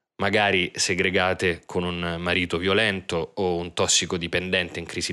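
A man speaks at a moderate pace in a very deep, low voice with a bright, sharp tone and monotone, flat intonation. The recording is very clean, with a silent background. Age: 30s. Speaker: theatre director and podcast narrator. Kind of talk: scripted narration.

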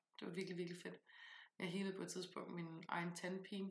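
A woman with a fairly low pitch and vocal fry talks at a very fast pace. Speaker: podcast host, tarot reader and author. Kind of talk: casual chat.

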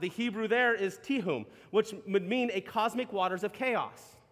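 Against noticeable background noise, a man speaks in an animated tone at a high pitch, with ordinary pitch variation and a moderate pace. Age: 30s. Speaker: pastor. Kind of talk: sermon. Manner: halting.

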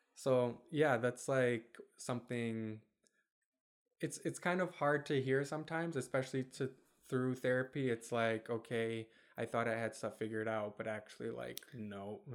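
A man with an American accent speaks in a normal speaking voice at a moderate pace, his medium pitch rising and falling in an ordinary way. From Michigan (Kentwood), US; Bosnian family. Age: 20s. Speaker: podcast co-host. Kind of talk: casual chat. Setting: home recording with dog, video.

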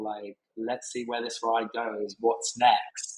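In a southern English accent, a man at medium pitch speaks fairly slowly with monotone, flat intonation. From southern England, Brighton. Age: 30s. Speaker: hospitality operations manager. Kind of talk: casual interview.

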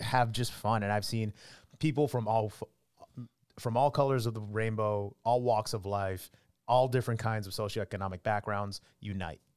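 A man with a normal speaking voice talks at a fairly slow pace, his pitch medium and his intonation fairly even. The recording is very clean, with a silent background. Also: dry, close sound with no echo. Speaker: sports anchor turned morning news anchor. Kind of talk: casual interview.

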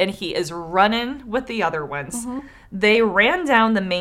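Text given as plain reading aloud

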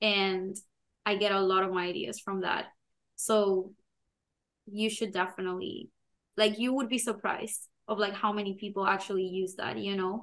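A woman's voice at medium pitch and moderate pace, with fairly even intonation and long, frequent pauses. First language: not English. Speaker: podcast co-host, product manager. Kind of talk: casual chat.

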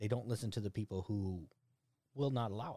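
Speaking at a very fast pace with an American accent, a man uses a fairly low pitch, ordinary pitch variation, and a dark, mellow, somewhat breathy tone. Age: 40s. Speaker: podcast host. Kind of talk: casual chat.

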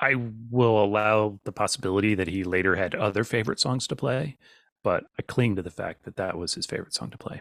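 With an American accent and an ordinary speaking voice, a man speaks at a fairly quick pace and a fairly low pitch with ordinary pitch variation, in a dry, close recording with no echo that is very clean against a silent background. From Virginia, US. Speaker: podcast host and songwriter. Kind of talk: casual chat.

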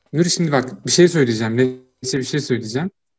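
An ordinary speaking voice from a man at medium pitch, with ordinary pitch variation at a moderate pace. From Turkey, Ankara (Çubuk). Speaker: podcast host, university student. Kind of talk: casual chat.

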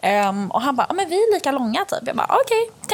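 Over noticeable background noise, a woman talks very fast in a high voice with very wide pitch swings. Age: 20s. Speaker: podcast host. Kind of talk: casual chat. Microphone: cheap earphone mic.

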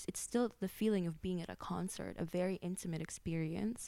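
A woman speaks in an ordinary speaking voice, fairly low-pitched, at a moderate pace, on a very clean recording with a silent background. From grew up outside the US, immigrant background. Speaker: creative technologist and XR artist. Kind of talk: casual interview conversation.

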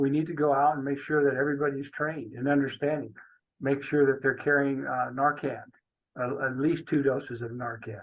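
Fairly high in pitch for a man, his voice is an unremarkable speaking voice. He talks at a fairly quick pace with fairly even intonation. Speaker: police chief. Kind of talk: interview.

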